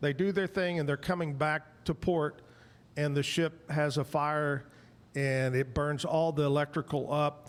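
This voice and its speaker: In a plain, everyday voice, a man speaks at a fairly high pitch and fairly slow pace, with very even loudness and fairly even intonation. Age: 60s. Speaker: talk show host. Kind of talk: casual chat. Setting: live show at a bar venue.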